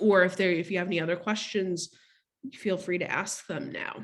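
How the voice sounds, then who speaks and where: A plain, everyday voice speaks at a moderate pace. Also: woman. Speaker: law firm marketing director, workshop presenter. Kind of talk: webinar presentation. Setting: video call.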